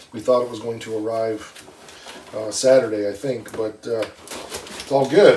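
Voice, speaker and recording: Speaking with an American accent, a man is heard over noticeable background noise. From US Midwest, northern Michigan. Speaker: car restorer, channel host. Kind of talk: casual chat, unboxing. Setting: workshop in a barn. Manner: casual, with frequent 'uh' fillers.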